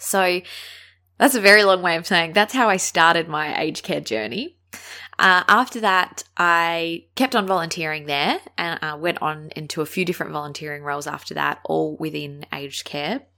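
A woman with an Australian accent talks in a bright, sharp tone with lively intonation. The recording is very clean, with a silent background. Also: fairly low pitch for a woman, moderate pace. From Australia, Adelaide. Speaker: podcast host, aged care worker. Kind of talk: solo podcast monologue.

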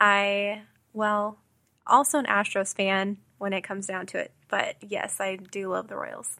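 A woman's bright, sharp, medium-pitched voice in an American accent, at a fairly slow pace with fairly even intonation, on a very clean recording with a silent background. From Texas, Houston. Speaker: newspaper managing editor. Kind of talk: interview.

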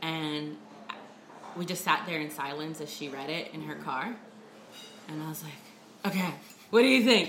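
With an American accent, a woman with a very deep, low pitch speaks at a moderate pace in lively intonation, with long, frequent pauses and big swings in loudness. Noticeable background noise and audible room echo fill the recording. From New Jersey. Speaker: journalist and lecturer. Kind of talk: casual chat. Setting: brunch table.

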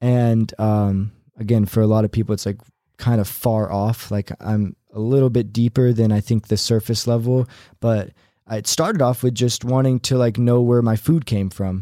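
An American-accented man speaks with a dark, mellow tone and fairly even intonation, in a dry, close sound with no echo on a very clean recording with a silent background. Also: medium pitch for a man, moderate pace. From San Diego, then North Carolina. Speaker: musician, former youtuber. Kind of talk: casual chat.

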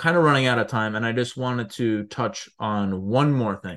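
A man speaks at a fairly slow pace in a medium pitch. His pitch varies in an ordinary way, with a quiet background behind him. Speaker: podcast co-host. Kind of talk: casual chat.

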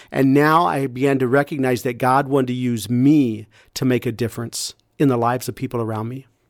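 With an American accent and a normal speaking voice, a man speaks fairly quickly at a medium pitch in a very clean recording with a silent background. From US Midwest, rural Iowa. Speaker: pastor and nonprofit founder. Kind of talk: testimony.

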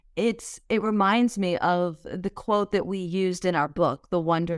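A woman speaks at a fairly slow pace in a medium pitch with ordinary pitch variation, an ordinary speaking voice. The recording is very clean, with a silent background. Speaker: podcast host. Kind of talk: conversational podcast discussion.

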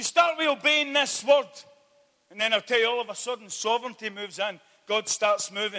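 Raising and projecting his voice, a man speaks at a fairly quick pace in an extremely high pitch, with ordinary pitch variation and big swings in loudness. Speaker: visiting preacher. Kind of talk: sermon. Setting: church evening meeting. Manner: fervent, urgent, exhorting the congregation; animated, repeating phrases for emphasis.

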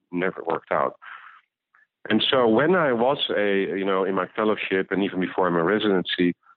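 A man with a Dutch accent talks at a fairly quick pace in a fairly low voice, his pitch varying in an ordinary way. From Netherlands. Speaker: ophthalmologist and medtech founder. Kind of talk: interview. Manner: halting, with repeated words.

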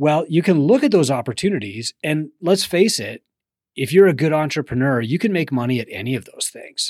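A man with an unremarkable speaking voice talks at a fairly quick pace and a fairly high pitch. The sound is dry and close with no echo, on a very clean recording with a silent background. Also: lively intonation. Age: 40s. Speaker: business mentor and podcast host. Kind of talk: solo podcast monologue.

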